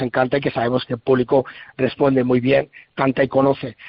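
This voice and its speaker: At a moderate pace, a man with a fairly high pitch speaks in a plain, everyday voice. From Basque Country, San Sebastián area. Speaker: rock band guitarist. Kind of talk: radio interview.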